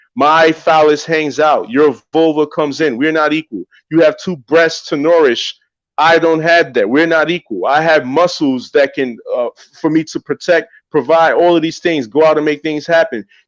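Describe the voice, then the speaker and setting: At a moderate pace, a man with a New York accent talks in fairly even intonation over a quiet background. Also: fairly high pitch for a man, dry, close sound with no echo. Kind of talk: religious discussion podcast.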